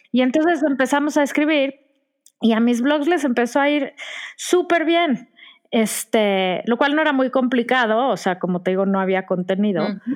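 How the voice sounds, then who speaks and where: In a Mexican accent, a woman speaks with a high pitch. Her intonation is lively. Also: moderate pace. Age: 40s. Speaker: blogger and writer. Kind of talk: casual chat.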